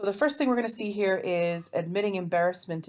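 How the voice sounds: The pitch varies in an ordinary way as the speaker reads in a natural reading voice.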